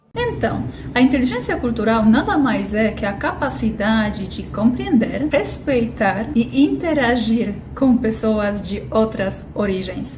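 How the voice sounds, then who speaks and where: A woman with a Polish accent talks very slowly at a fairly high pitch, her intonation lively. The recording has noticeable background noise and audible room echo. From Poland. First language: Polish (speaking Portuguese). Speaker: intercultural business consultant. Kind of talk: educational talk.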